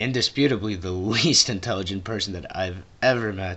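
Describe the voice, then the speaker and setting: A man's voice with ordinary pitch variation. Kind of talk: casual talk to camera. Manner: mumbling, unfocused.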